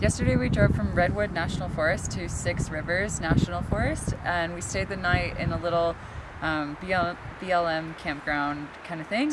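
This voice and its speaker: Noticeable background noise sits behind this recording. A woman with a fairly low pitch speaks at a moderate pace. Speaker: travel vlogger. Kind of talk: casual vlog chat. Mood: relaxed, cheerful. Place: forest. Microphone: phone near.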